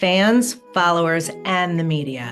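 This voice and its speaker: With music in the background, a woman speaks fairly slowly using ordinary pitch variation. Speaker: TV show host. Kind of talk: promotional ad read.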